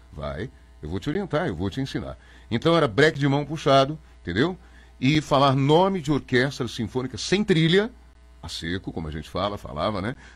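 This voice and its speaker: In a very clean recording with a silent background, a man uses vocal fry and very wide pitch swings. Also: medium pitch for a man. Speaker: radio announcer. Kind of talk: interview. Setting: studio. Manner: fast; animated.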